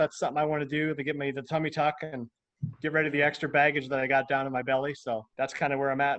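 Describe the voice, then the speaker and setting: Talking at a very fast pace, a man with a Midwestern American accent keeps his intonation fairly even. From US Midwest. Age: 40s. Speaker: interview guest, DJ. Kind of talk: interview.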